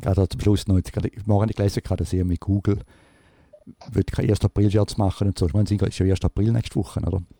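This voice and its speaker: Speaking at a very fast pace, a man uses a fairly low pitch and fairly even intonation. The sound is dry and close, with no echo. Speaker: podcast host. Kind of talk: casual chat. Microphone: new recording device.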